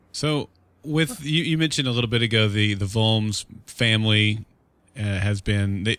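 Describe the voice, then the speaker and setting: Here is a normal speaking voice from a man with a fairly low pitch at a moderate pace. The recording is very clean, with a silent background. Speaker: podcast host. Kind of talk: podcast interview and intro.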